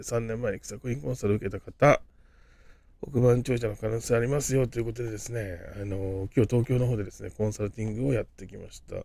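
Somewhat breathy and dark, mellow in tone, the voice moves at a fairly quick pace with fairly even intonation. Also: man. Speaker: business consultant and crypto YouTuber. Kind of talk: casual vlog-style talk to camera. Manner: chatty, rambling with many fillers.

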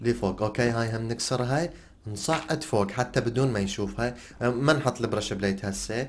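A man speaks with an Iraqi accent. His pace is moderate. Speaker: gaming YouTuber. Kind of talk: gameplay commentary. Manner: animated.

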